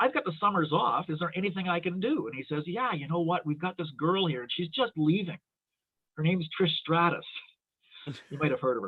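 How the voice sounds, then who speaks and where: In a Canadian accent, a man with a high pitch talks at a fairly quick pace with lively intonation. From Ontario, Toronto. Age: 60s. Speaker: wrestling referee. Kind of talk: casual chat.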